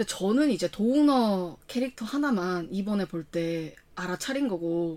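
A woman's intonation is lively. Her tone comes across as animated. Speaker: podcast co-host. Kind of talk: casual chat.

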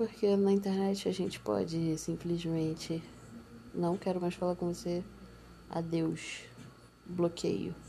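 Very slow and broken by long, frequent pauses, the voice is somewhat breathy, with a dark, mellow tone and fairly even intonation. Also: woman, fairly low pitch for a woman. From Brazil, Nova Iguaçu, Baixada Fluminense (Rio de Janeiro). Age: young. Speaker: podcaster. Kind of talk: personal monologue. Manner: casual, hesitant.

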